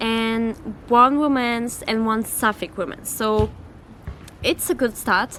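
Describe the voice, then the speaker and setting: Very slowly, a woman with a French accent speaks in a fairly high pitch with ordinary pitch variation. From France. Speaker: book YouTuber. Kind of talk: casual vlog chat. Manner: animated.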